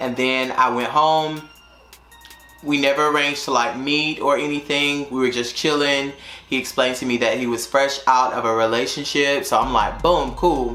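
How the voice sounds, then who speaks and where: A man with a Southern accent speaks at a moderate pace in a fairly high voice with fairly even intonation. There is audible room echo and music in the background. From North Carolina, US South. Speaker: YouTuber and teacher. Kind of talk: casual storytime vlog. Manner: casual, filler-heavy.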